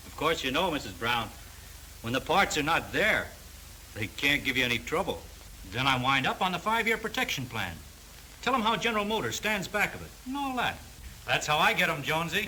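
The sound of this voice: A man puts on a character voice at a fairly quick pace, pitched fairly high with big pitch swings and a bright, sharp tone, over faint background noise.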